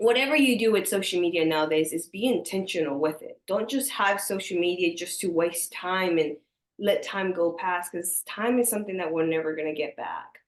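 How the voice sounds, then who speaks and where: The speaker talks at a fairly quick pace with an animated tone, ordinary pitch variation, and hardly any pauses. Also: woman, medium pitch for a woman. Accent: Spanish. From US, small conservative country town, Mexican mother. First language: Spanish. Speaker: entrepreneur, social media creator. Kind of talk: podcast interview.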